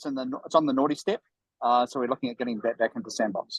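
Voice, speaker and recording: The voice carries a New Zealand accent with ordinary pitch variation, recorded in a dry, close sound with no echo. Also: man. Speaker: venture capital partner and company director. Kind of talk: casual chat. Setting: video call from a shared workspace. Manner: halting, many fillers.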